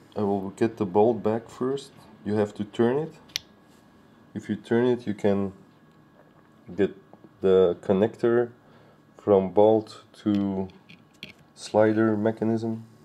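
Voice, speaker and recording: Very slowly and with long, frequent pauses, a man with a strong Belgian accent speaks at a fairly low pitch with fairly even intonation. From Belgium. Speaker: paintball hobbyist reviewer. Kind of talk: tutorial. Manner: halting.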